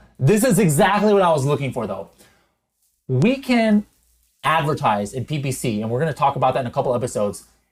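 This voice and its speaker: A man with a fairly high, somewhat breathy voice talks at a very fast pace in an animated tone, his pitch swinging very widely. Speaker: e-commerce software educator and podcast host. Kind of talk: live software tutorial. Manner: unscripted, zero prep.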